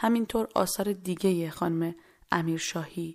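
On a very clean recording with a silent background, a woman talks at a medium pitch with fairly even intonation in an ordinary speaking voice. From Iran. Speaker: podcast host. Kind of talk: personal storytelling and poetry reading.

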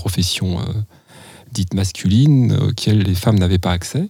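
This man's voice sits at a fairly low pitch with ordinary pitch variation. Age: 50s. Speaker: midwife. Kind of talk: interview conversation.

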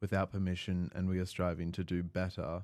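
An Australian accent marks this man's dark, mellow voice, delivered at a fairly quick pace. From Melbourne, Australia. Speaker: student podcast host. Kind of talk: casual chat.

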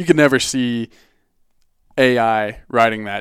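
A man talks with an American accent in an ordinary speaking voice. The recording is very clean, with a silent background. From Boulder, Colorado. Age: 20s. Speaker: outdoor gear company marketing director. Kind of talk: casual interview chat.

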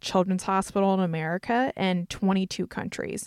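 A woman's medium-pitched, monotone voice with flat intonation and a slight Southern US accent, at a moderate pace, in a dry, close sound with no echo on a very clean recording with a silent background. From North Carolina. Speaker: podcast host, speaker and entrepreneur. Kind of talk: podcast trailer, scripted intro.

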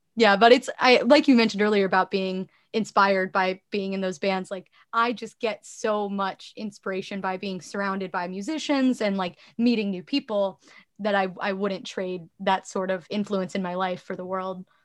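A woman talks at a medium pitch and moderate pace with fairly even intonation. Her loudness swings widely over a quiet background. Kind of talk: interview.

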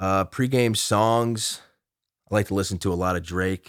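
On a very clean recording with a silent background, the intonation stays fairly even. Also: man. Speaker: college football player. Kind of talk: interview. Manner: halting, many fillers.

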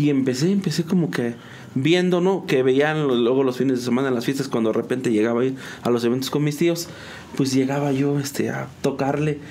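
Noticeable background noise sits behind a man's voice. He talks fairly quickly with ordinary pitch variation. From Mexico, San Juan del Río, Querétaro. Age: 30s. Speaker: musician and graphic designer. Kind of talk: casual interview.

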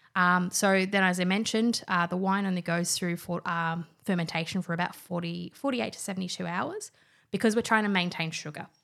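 This woman has an Australian accent and talks at a fairly quick pace. The recording is very clean, with a silent background. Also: medium pitch for a woman. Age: 20s. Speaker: wine industry professional. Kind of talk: casual chat. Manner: animated.

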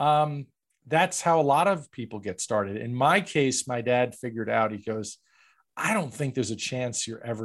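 In a very clean recording with a silent background, a man with an American accent uses a plain, everyday voice at a medium pitch, moderate pace and ordinary pitch variation. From New York. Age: 50s. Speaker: franchise broker. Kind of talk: interview.

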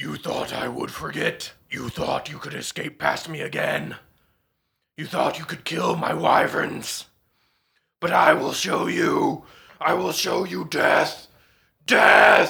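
A man speaks fairly slowly in a raspy, put-on character voice. Long pauses come often. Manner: menacing, vengeful.

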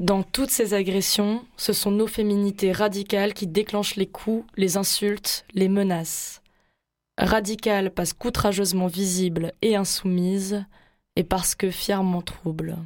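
On a very clean recording with a silent background, a woman at medium pitch speaks fairly slowly in a monotone, flat delivery with very even loudness. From Marseille, southern France. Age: 20s. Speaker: radio host. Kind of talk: scripted narration.

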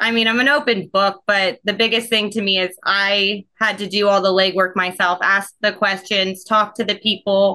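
A woman with an American accent speaks at a moderate pace with hardly any pauses. Her medium-pitched voice has a bright, sharp tone. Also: fairly even intonation. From Ohio. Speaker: dental front office coach. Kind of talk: casual interview.

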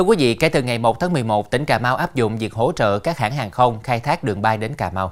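Very fast and with hardly any pauses, a man talks on. His intonation is lively. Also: medium pitch for a man. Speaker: TV news anchor. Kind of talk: news reading. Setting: studio. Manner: formal.

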